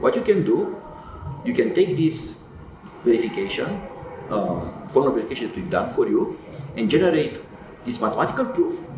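A man talks at a fairly quick pace, broken by long, frequent pauses. Noticeable background noise sits behind him. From Romania. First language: Romanian. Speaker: tech company founder and computer scientist; interviewee. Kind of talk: interview. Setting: in-person event. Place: office.

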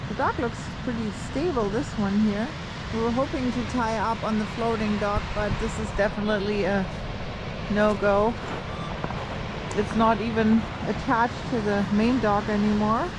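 Fairly even intonation carries a voice at a moderate pace over clear background noise. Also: woman, medium pitch for a woman.

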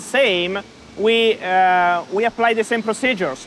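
Light background noise sits behind a man's high-pitched voice. He speaks at a fairly slow pace. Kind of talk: interview answer. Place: factory. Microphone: lapel.

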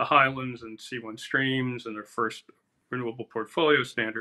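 Against a quiet background, a man speaks at a moderate pace in a monotone, flat intonation. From New Jersey. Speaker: environmental activist. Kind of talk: panel discussion. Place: home room. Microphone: webcam.

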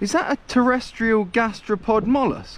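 A man is heard with a dry sound, no echo, and light background noise. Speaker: mountain biker vlogger. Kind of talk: casual vlog chat. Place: forest. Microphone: phone near.

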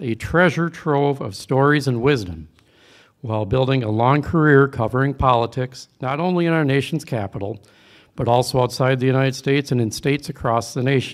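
Against a quiet background, a man speaks at a fairly quick pace, his medium-pitched voice showing ordinary pitch variation. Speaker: speaker introducer, organization member; event host. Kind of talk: prepared introduction speech. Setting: banquet hall with live audience. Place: hall. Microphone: podium.

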